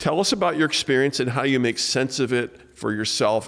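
An unremarkable speaking voice, a man at a fairly quick pace with lively intonation. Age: 60s. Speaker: podcast host and author. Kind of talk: casual interview. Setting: studio, in person.

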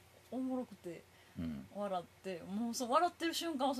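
A woman's high-pitched voice with a Kansai accent, very wide pitch swings, a moderate pace and noticeable background noise. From Japan, Kobe. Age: 30s. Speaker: comedian. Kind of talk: casual chat.

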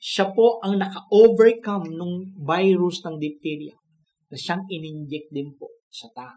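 A man speaks at a fairly slow pace with a high pitch and ordinary pitch variation. His tone is warm and gentle.

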